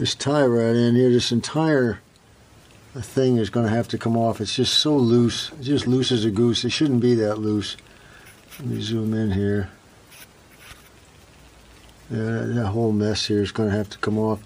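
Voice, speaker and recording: With long, frequent pauses, a man talks at a moderate pace in fairly even intonation. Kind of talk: tutorial. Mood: cheerful, relaxed. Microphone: phone near.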